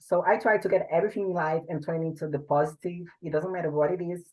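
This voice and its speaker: A woman talks at a fairly quick pace with a strong Portuguese accent. Her pitch is fairly low. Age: 20s. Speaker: bodybuilder. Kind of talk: interview.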